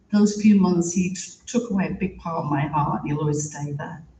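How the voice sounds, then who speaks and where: A British accent carries a dark, mellow tone that is somewhat breathy. Pitch varies in an ordinary way. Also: woman. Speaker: theatre producer and writer. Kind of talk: eulogy.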